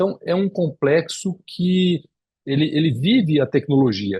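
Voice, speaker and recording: Fairly high in pitch yet dark and mellow in tone, a man's voice moves through very wide pitch swings. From Espírito Santo, Brazil. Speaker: cardiologist and lecturer. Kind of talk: lecture. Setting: video call. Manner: halting with repetitions.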